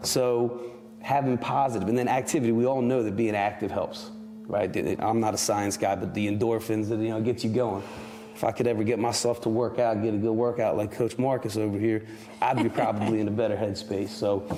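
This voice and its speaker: Noticeable background noise sits behind a man of medium pitch who talks fairly quickly, his loudness very even and his intonation fairly even. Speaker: school principal and parent. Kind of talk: casual chat. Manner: halting, many repeated words.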